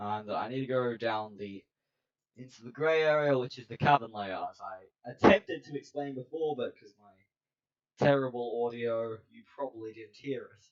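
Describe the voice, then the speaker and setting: A fairly slow pace with ordinary pitch variation. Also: man. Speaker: gaming YouTuber. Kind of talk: gameplay commentary narration. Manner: rambling, hesitant with many ums. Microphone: poor audio, voice hard to hear.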